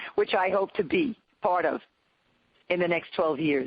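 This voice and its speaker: Fairly slow speech from a woman at a medium pitch. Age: 60s. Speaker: pediatrician and nonprofit leader. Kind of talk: webinar panel discussion. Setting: webinar.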